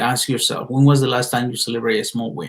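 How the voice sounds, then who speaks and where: With a Spanish accent, a man talks at a very fast pace in a somewhat breathy voice, at a medium pitch with ordinary pitch variation. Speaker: motivational speaker. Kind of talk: motivational talk. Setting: live stream. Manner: casual, halting with repetitions.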